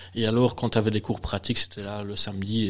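Delivered at a fairly quick pace, a man's voice sits fairly low in pitch. His intonation stays monotone and flat. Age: 40s. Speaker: beer sommelier and trainer. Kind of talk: interview and casual chat with tasting. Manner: hesitant, repeats words.

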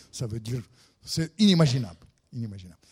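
Over a silent background on a very clean recording, a man speaks in a dark, mellow tone at medium pitch with ordinary pitch variation. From Russia. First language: Russian (speaking French). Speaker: writer and former diplomat. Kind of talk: lecture.

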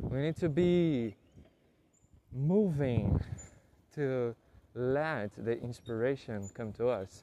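With a Portuguese accent and a dark, mellow tone, a man talks at a very slow pace, leaving long, frequent pauses, his intonation lively. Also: medium pitch for a man. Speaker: podcaster learning English. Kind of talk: solo monologue. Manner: halting.

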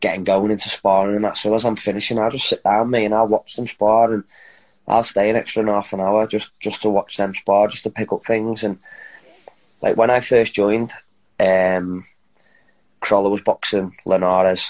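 A man with a Liverpool accent speaks at a moderate pace in a fairly low, monotone, flat voice, with long, frequent pauses. The sound is dry and close, with no echo. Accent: Liverpool (Scouse). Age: 30s. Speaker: professional boxer. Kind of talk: interview.

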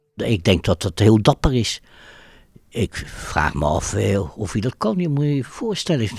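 A fairly low-pitched man with vocal fry and very wide pitch swings, in a dry, close sound with no echo. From Netherlands, The Hague. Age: 70s. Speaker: Holocaust survivor. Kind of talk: interview testimony. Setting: coffee room. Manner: hesitant, many filler words.

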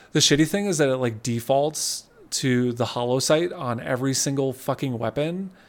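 This man has a normal speaking voice at a medium pitch with ordinary pitch variation. He talks at a moderate pace. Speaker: podcast co-host. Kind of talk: casual chat. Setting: remote recording over the internet.

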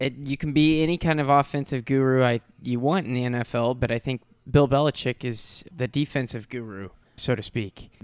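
In an American accent, a man with an ordinary speaking voice talks at a moderate pace and medium pitch, on a very clean recording with a silent background and a dry, close sound with no echo. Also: ordinary pitch variation. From US Midwest (St. Louis, Missouri). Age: 20s. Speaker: podcast host. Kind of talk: casual chat.

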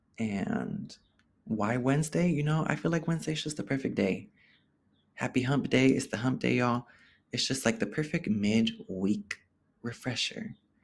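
An animated, somewhat breathy man speaks in an American accent with very wide pitch swings. He leaves long, frequent pauses in a very clean recording with a silent background. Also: medium pitch for a man, moderate pace. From Oakland, California (Bay Area). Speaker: podcast host. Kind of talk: casual solo monologue.

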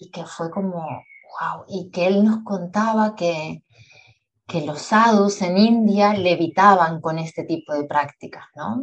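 A woman speaks at a very slow pace with a fairly low pitch. Her loudness swings widely. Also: ordinary pitch variation. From Uruguay, Montevideo. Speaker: yoga nidra teacher and sleep coach. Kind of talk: interview conversation.

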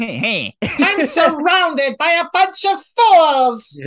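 A put-on character voice speaks at an extremely high pitch and a very slow pace. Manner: villainous, scornful.

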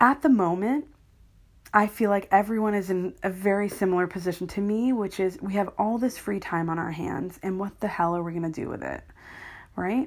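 In a normal speaking voice, a woman with an American accent talks at a fairly quick pace, her medium pitch moving with ordinary variation. The recording is very clean, with a silent background. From US. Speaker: podcaster. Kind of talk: casual solo podcast monologue. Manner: casual, self-deprecating, chatty.

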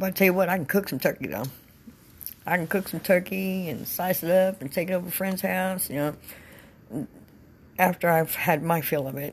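This woman has a fairly low, somewhat breathy voice with ordinary pitch variation. She leaves long, frequent pauses. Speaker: podcast host. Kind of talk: casual monologue. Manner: hesitant, many fillers.

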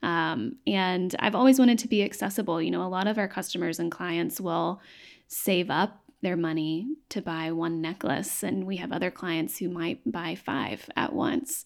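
Medium-pitched woman's voice with lively intonation at a moderate pace, on a very clean recording with a silent background. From East Tennessee, Knoxville. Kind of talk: interview conversation.

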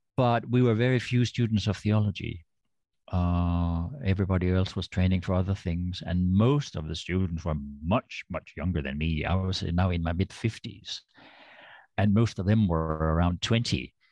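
Speaking with a Danish accent, a man has a very deep, low pitch. The background is quiet. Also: ordinary pitch variation, moderate pace. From Denmark, rural western. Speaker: author and theologian. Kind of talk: interview, personal story.

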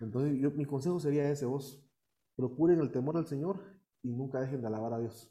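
With a dark, mellow tone and fairly high pitch, the man talks at a fairly quick pace with ordinary pitch variation. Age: 30s. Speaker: deacon and youth minister. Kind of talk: interview.

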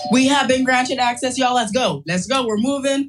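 A woman talks in an animated tone at a high pitch. Her pitch variation is ordinary. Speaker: life coach. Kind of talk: guided affirmation and breathing exercises.

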